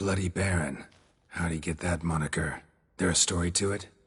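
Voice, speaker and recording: Putting on a character voice, a man speaks at a moderate pace in a very deep, low, raspy pitch with a deadpan tone. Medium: video game. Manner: terse, deadpan.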